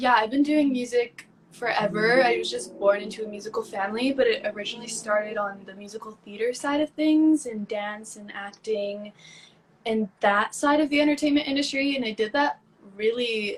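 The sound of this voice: A woman talks at a fairly high pitch and a moderate pace. Her pitch varies in an ordinary way.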